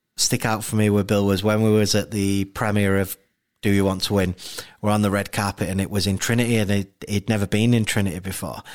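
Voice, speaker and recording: This man talks at a fairly quick pace in a Yorkshire accent. His voice sits at a fairly low pitch. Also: very clean recording, silent background. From Leeds, West Yorkshire. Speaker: documentary director. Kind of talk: interview.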